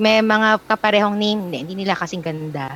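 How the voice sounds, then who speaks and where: A woman speaks at a medium pitch in a normal speaking voice, with ordinary pitch variation. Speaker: country manager, guest curating a playlist. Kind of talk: casual chat. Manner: playful, lots of laughter.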